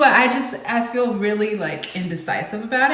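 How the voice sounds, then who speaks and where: A woman speaks at a fairly high pitch. Audible room echo and noticeable background noise surround her voice. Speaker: singer-songwriter vlogger. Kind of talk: casual chat to camera between songs. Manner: casual, filler-heavy.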